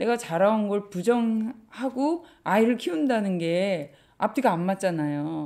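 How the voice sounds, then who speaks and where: A woman with a medium pitch and a dark, mellow tone speaks fairly slowly, her pitch swinging very widely. The recording is very clean, with a silent background. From Korea, Gangwon province. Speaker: bookshop owner. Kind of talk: interview.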